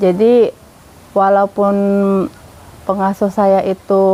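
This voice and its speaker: The dry, close sound with no echo carries a woman's medium-pitched voice at a very slow pace. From Jakarta, Indonesia. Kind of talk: testimony. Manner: casual, with hesitations.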